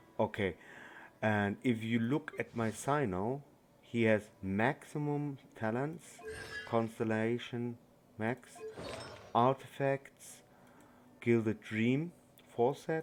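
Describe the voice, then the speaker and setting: A man with a non-native accent speaks at a very slow pace and a medium pitch, with ordinary pitch variation and long, frequent pauses. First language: not English. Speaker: gaming YouTuber. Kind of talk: game tutorial. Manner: halting.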